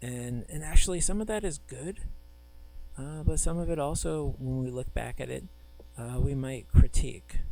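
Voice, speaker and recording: A soft-spoken voice at a moderate pace. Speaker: professor. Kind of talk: lecture. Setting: recorded video lecture with screen. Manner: halting.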